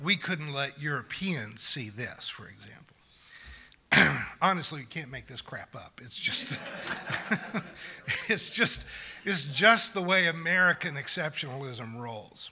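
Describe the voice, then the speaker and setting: A man's voice at a fairly slow pace, with big swings in loudness. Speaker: preacher. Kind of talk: sermon. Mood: wry, sarcastic, occasional laughs. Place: church. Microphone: podium.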